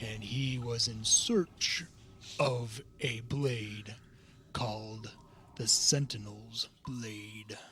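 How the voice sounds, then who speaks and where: Using a put-on character voice, a man speaks at a medium pitch. His pace is very slow. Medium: actual play. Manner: formal, slow, no contractions.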